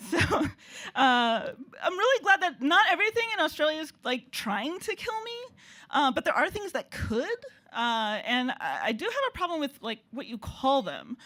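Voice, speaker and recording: A bright, sharp, raised and projected voice in an American accent, with very wide pitch swings and a moderate pace. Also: woman, high pitch for a woman. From United States. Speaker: comedian. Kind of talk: stand-up. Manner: halting.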